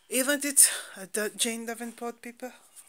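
A woman's fairly high voice at a very slow pace, with noticeable background noise. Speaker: craft vlogger. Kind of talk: casual chat. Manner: animated.

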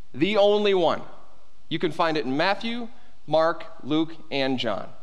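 Against a quiet background, a man talks at a fairly slow pace with very wide pitch swings. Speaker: pastor. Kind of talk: sermon. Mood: light, joking. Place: church.

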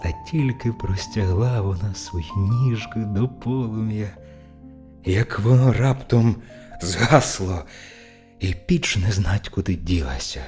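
A man with a fairly low pitch speaks in a calm tone with lively intonation. Music plays in the background. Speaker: professional narrator. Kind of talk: fairy tale reading.

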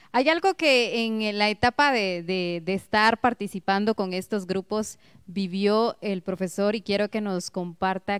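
Against a quiet background, a woman speaks at a fairly slow pace. Her pitch varies in an ordinary way. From Guatemala. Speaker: local TV host; TV interviewer host. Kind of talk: TV interview. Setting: TV studio. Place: studio. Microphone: handheld.

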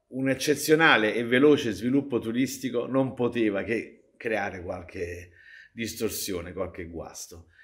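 Fairly slow speech from a man at a medium pitch, with ordinary pitch variation. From Naples, Italy (San Giovanni a Carbonara). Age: 60s. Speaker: popularizer of Neapolitan culture. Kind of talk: interview. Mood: playful, humorous. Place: stage.

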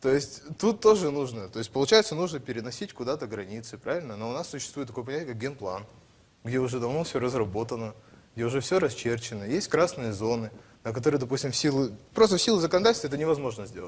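A man talks at a very fast pace. His medium pitch moves with lively intonation. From Russian Far East, Primorsky Krai. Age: 20s. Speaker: election candidate. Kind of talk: political debate; debate, prepared program reading. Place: studio. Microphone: lapel.

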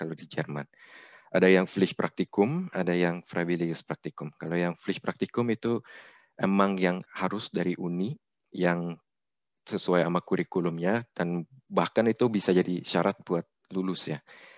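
The voice has ordinary pitch variation and a dry sound with no echo. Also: man, quiet background. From Indonesia. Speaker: engineer, webinar speaker; webinar speaker. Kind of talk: presentation. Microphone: video call.

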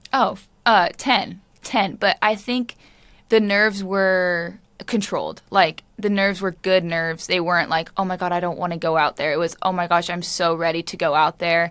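A woman speaks in a normal speaking voice, fairly low for a woman. Her pace is moderate and her intonation fairly even. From US. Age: 20s. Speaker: professional footballer. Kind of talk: interview. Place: empty room. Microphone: studio mic.

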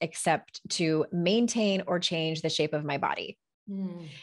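Against a quiet background, a woman talks in a fairly low pitch with ordinary pitch variation. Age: 40s. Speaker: life coach and author; life coach. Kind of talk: interview conversation. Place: home room. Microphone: studio mic.

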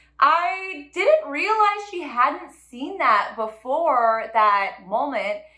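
A woman's raised, projected voice, high-pitched and bright, sharp in tone, at a very slow pace with hardly any pauses, very wide pitch swings and big swings in loudness over a quiet background. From California. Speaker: interior designer and vlogger. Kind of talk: casual vlog recap. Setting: home kitchen. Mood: upbeat, animated. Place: kitchen.

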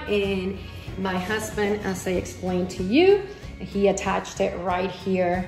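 Faint music plays behind a woman speaking at a fairly slow pace, with audible room echo. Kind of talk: tutorial. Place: home room. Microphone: phone near.

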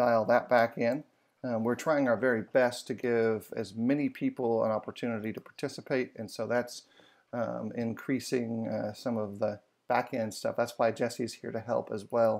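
A man's monotone, flat intonation at a moderate pace, over a quiet background. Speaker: bible study host. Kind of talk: lecture. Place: home room.

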